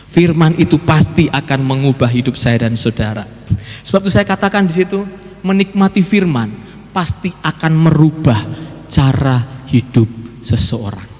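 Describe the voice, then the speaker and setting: Noticeable background noise sits behind a man with a fairly high pitch. He talks at a moderate pace with very wide pitch swings. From Java, Indonesia (Magelang). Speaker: preacher. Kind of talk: sermon. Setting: church.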